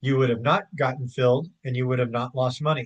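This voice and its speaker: A man speaks at a medium pitch and a moderate pace. His voice is somewhat breathy. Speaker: investing educator. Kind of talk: tutorial. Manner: casual with filler words.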